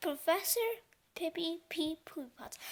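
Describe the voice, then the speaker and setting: This put-on character voice moves at a moderate pace. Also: woman, extremely high pitch for a woman. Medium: read story. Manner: fussy, flustered.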